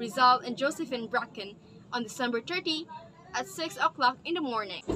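Over light background noise, a woman with a high pitch projects a raised voice at a moderate pace, her intonation lively. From Philippines. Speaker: student presenter; presenter. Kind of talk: class presentation. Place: home room. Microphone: webcam.

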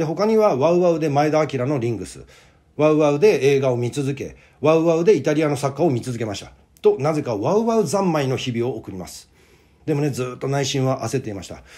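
A man's fairly high voice, dark and mellow in tone, with lively intonation, big swings in loudness and a fairly quick pace. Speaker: playwright and actor. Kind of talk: monologue video. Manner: casual.

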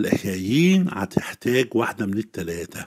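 With an Egyptian accent, a man speaks at a fairly slow pace in a fairly low pitch. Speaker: Arabic literature teacher. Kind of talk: exam-prep lesson.

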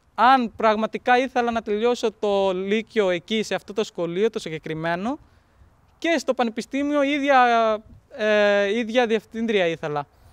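A man with a high pitch talks at a fairly slow pace with ordinary pitch variation. The sound is dry with no echo, over a quiet background. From Pakistan. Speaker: interpreter and student. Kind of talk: documentary interview. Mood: calm, grateful, reflective. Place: open country.

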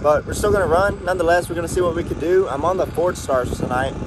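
A man talks at a very fast pace. The sound is dry with no echo, though noticeable background noise is present. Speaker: car enthusiast vlogger. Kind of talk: casual vlog chat. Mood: excited but cautious. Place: street. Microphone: phone near.

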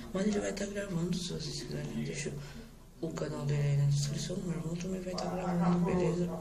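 A quiet man at a fairly quick pace, high in pitch with ordinary pitch variation, amid audible room echo and noticeable background noise. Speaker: gaming youtuber. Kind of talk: gameplay commentary. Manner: speaking quietly; casual, chatty.

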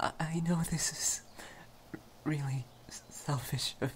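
At a very slow pace, a voice whispers. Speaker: voice actor for romantic character. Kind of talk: role-play monologue. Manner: soft, halting, shy stammering voice.

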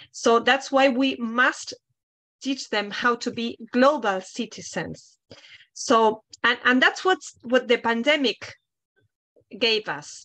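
A woman with a Spanish accent speaks at a high pitch and a very slow pace, leaving long, frequent pauses. Her tone is bright and sharp, her intonation lively, and the background is quiet. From Argentina. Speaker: international office head at a university; panelist. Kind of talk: panel discussion. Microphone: video call.

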